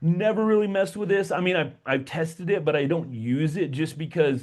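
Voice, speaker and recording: An animated man at a moderate pace, fairly high in pitch with ordinary pitch variation. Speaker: tech tutorial YouTuber. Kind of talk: tutorial.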